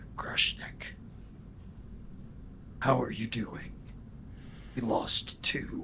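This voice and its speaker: Whispering in a put-on character voice, the speaker goes very slowly with long, frequent pauses. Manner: quiet, serious.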